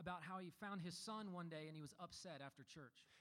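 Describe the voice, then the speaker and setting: With a high pitch and ordinary pitch variation, a man speaks at a moderate pace. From US South (Memphis, Tennessee). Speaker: worship pastor. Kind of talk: sermon.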